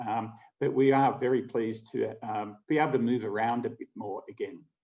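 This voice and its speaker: A man with an Australian accent and a dark, mellow tone at a moderate pace. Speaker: travel company co-founder. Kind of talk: keynote presentation.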